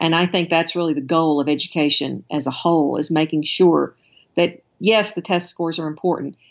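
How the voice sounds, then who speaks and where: A woman with a slight Alabama accent, fairly quick in pace, with fairly even intonation. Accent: slight Southern US (Alabama). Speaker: education consultant. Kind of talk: interview.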